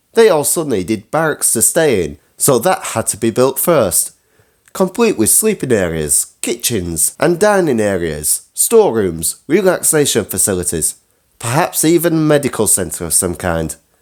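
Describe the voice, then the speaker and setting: With vocal fry, a man talks at a moderate pace and a medium pitch. His pitch swings very widely. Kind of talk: scripted history talk to camera.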